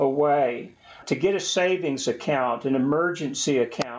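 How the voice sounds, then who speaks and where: A plain, everyday voice speaks with an American accent at a fairly slow pace. The pitch variation is ordinary, and the background is quiet. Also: man. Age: 60s. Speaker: personal finance video host. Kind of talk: tutorial.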